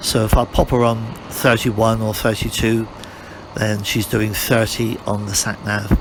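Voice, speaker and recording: A man with a British accent talks fairly slowly at a medium pitch, his intonation monotone and flat. Background noise is noticeable. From UK. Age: 60s. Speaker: motorcycle reviewer. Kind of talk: ride-along commentary. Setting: riding a motorcycle outdoors. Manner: casual, repetitive.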